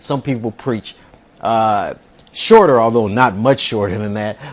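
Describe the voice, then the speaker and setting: A man speaks with ordinary pitch variation. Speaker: preacher, sermon consultant. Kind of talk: instructional talk. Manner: measured, hesitant with fillers.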